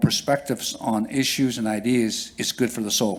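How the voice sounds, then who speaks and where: The speaker is a man with a medium-pitched voice. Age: 60s. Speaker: First Nation councillor. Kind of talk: conference panel talk. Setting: conference hall with audience. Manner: halting, with many fillers and repeats.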